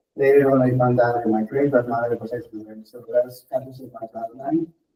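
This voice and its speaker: A man with an American accent speaks at a moderate pace in a medium pitch with ordinary variation. His voice is somewhat breathy, with a dark, mellow tone. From California. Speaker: healing touch practitioner. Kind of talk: self-introduction in group meeting.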